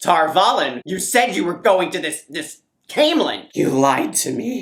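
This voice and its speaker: This is a put-on character voice at a middle pitch. It moves along at a moderate pace. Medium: solo performance. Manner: menacing.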